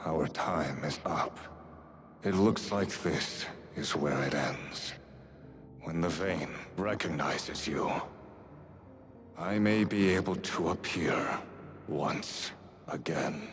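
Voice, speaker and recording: A man speaks in a put-on character voice with a very deep, low pitch. His pace is very slow, and background noise is clearly audible. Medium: game stream. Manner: solemn, formal.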